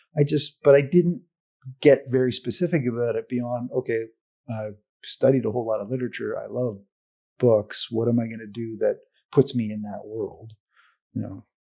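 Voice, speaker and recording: At a moderate pace, a man with a medium pitch and ordinary pitch variation speaks with long, frequent pauses and big swings in loudness. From Canada. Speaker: advertising professor. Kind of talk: casual interview chat. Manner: halting, many fillers and repeats.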